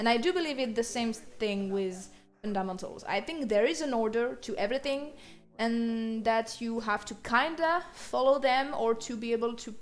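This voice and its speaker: Speaking at a moderate pace with a French accent, a woman keeps a fairly high pitch and ordinary pitch variation. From France. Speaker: art teacher. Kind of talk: tutorial. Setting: live stream. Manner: halting.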